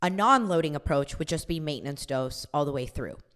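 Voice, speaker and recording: The speaker sounds animated, with ordinary pitch variation. The recording is very clean, with a silent background. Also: woman. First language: not English. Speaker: podcast host and fitness coach. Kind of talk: educational podcast monologue. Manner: casual, animated.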